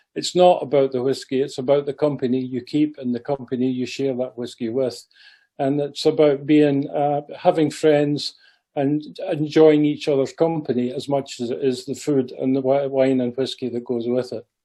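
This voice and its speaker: In a Scottish accent, a man talks with a dark, mellow tone and monotone, flat intonation. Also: fairly high pitch for a man, moderate pace. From Scotland. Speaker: president of a heritage society, talk speaker. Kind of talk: club talk. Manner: hesitant, with fillers.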